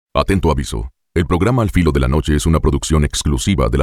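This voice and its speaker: A man talks at a very fast pace in a very deep, low voice. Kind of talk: radio station legal disclaimer.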